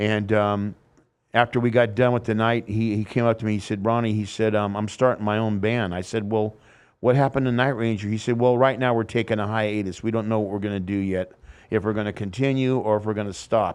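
In a quiet background, a man speaks with a fairly low pitch. His intonation is monotone and flat. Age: 60s. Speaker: former drummer. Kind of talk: casual interview. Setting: studio.

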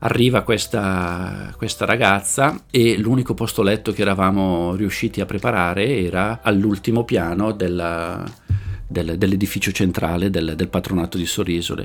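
The speech moves at a moderate pace. Its pitch variation is ordinary. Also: man, fairly low pitch for a man. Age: 40s. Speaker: social worker for the homeless. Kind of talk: interview storytelling. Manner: halting, frequent word repetitions.

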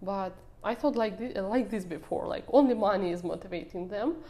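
A woman's dark, mellow voice sits at medium pitch and carries lively intonation. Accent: Russian. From Russia. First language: Russian. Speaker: social media manager. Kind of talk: podcast interview.

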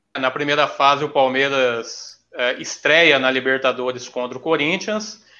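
With a normal speaking voice, a man talks fairly slowly at a fairly high pitch and with ordinary pitch variation. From Maringá, northern Paraná, Brazil. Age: 30s. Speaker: teacher, football fan guest. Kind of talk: casual chat.

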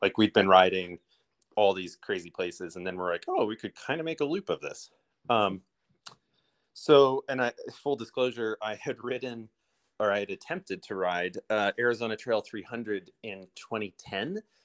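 In a normal speaking voice, a man with an American accent talks at a medium pitch and a moderate pace with ordinary pitch variation. The sound is dry and close, with no echo. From US Midwest, Illinois. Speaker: bike shop owner and race organizer. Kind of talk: casual interview.

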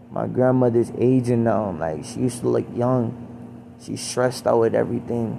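Against noticeable background noise, a man talks at a moderate pace with an American accent. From US, Baltimore. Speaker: solo vlogger. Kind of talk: personal monologue. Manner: halting.

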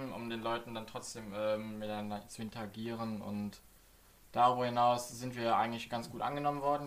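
A man's medium-pitched voice at a fairly quick pace, flat and monotone in intonation. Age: 20s. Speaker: podcast co-host, streamer. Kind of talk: casual chat.

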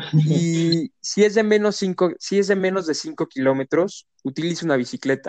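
There are hardly any pauses as a man speaks at a moderate pace with ordinary pitch variation. His voice is high, and the sound is dry and close with no echo. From Querétaro, Mexico. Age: 20s. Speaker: sustainability student and mobility activist. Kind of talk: interview.

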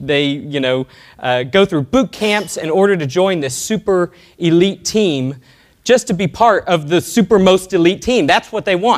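In a Texan accent, a high-pitched man talks at a moderate pace with lively intonation. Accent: Texan American. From Texas (Alvin, small town). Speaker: software entrepreneur. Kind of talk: conference talk. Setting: stage with audience.

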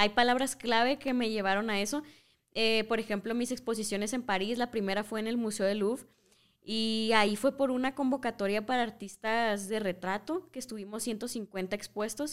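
On a very clean recording with a silent background, a woman with a plain, everyday voice speaks at a fairly high pitch and moderate pace, her intonation fairly even. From Mexico, Culiacán, Sinaloa. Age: 20s. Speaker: visual artist and photographer. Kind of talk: casual interview chat.

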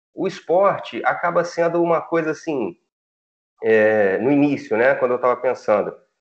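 This man speaks at a high pitch and a moderate pace. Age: 40s. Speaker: sports journalist. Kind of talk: casual chat.

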